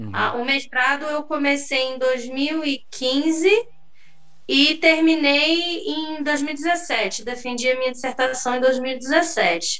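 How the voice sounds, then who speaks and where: There is noticeable background noise and audible room echo as a woman speaks very slowly in a high pitch with ordinary pitch variation. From São Gonçalo, Rio de Janeiro state, Brazil. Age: 30s. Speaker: history teacher and researcher. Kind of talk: casual interview chat. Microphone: unstable connection, switched to 3G.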